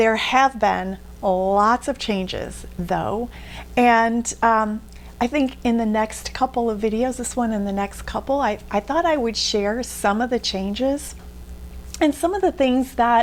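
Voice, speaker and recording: The woman talks fairly slowly while noticeable background noise carries on behind her. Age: 60s. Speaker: beauty vlogger. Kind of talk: tutorial. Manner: casual, conversational with fillers.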